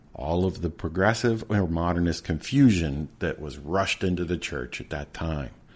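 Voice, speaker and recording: The pace is moderate. Intonation is lively. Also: man. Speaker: podcast host. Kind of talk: casual chat. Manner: halting.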